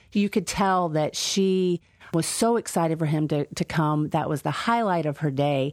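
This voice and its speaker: With a slight Southern US accent, a woman talks at a moderate pace in a fairly low voice, her loudness very even against a quiet background. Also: ordinary pitch variation, dry, close sound with no echo. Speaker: meal program manager. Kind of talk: casual interview.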